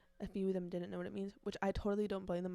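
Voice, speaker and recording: Her intonation fairly even, a woman speaks in a dark, mellow tone. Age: young. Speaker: college student and podcast host. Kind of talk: casual podcast talk. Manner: chatty, talkative.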